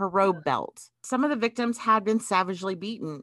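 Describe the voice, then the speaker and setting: Over a quiet background, a woman speaks at a moderate pace with a bright, sharp tone. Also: dry, close sound with no echo. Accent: Southern US. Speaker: podcast host. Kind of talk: casual chat.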